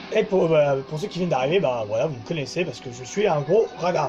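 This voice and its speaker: Against music in the background, a man speaks at a moderate pace with lively intonation. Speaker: gaming YouTuber. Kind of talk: let's play commentary. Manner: halting.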